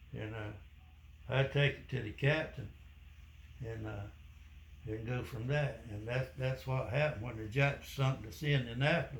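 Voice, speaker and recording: A man's medium-pitched voice with vocal fry, at a moderate pace with long, frequent pauses, big swings in loudness and ordinary pitch variation. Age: 80s+. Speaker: war veteran. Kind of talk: interview answer.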